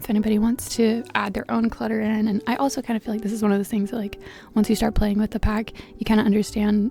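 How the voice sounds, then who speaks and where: A soft-spoken woman at a fairly high pitch and a very fast pace, fairly even in intonation, with music in the background. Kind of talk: casual talk over gameplay.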